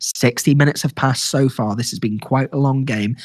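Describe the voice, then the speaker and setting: Somewhat breathy and fairly quick, a man speaks with ordinary pitch variation in a dry, close sound with no echo. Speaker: live gaming commentator. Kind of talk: live commentary. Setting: game store, live stream. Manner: lowered, quieter than usual.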